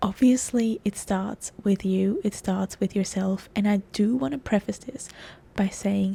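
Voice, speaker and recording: A woman speaks quietly and fairly slowly, her medium pitch carrying a dark, mellow, somewhat breathy tone with ordinary pitch variation. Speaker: self-help podcast host. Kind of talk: casual podcast monologue. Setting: outdoors.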